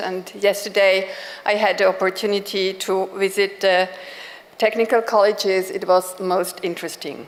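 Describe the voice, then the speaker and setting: A woman talks at medium pitch and a moderate pace, her intonation fairly even, against noticeable background noise. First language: German. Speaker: education institute director. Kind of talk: conference keynote speech. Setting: conference stage with audience.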